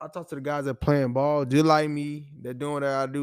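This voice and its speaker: A man speaks at a fairly high pitch with fairly even intonation. The recording is very clean, with a silent background. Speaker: college football player. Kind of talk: casual chat.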